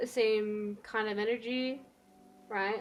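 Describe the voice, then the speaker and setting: A quiet woman's voice, fairly high in pitch. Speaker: streamer. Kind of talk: casual chat.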